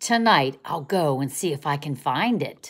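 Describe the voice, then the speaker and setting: This put-on character voice sits at a low-to-middle pitch and keeps a moderate pace. The recording is very clean, with a silent background. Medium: read story. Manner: wondering, innocent.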